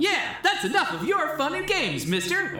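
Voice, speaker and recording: Someone does a put-on character voice at a moderate pace, with a slight echo in the sound. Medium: audio drama. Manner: brash, boastful.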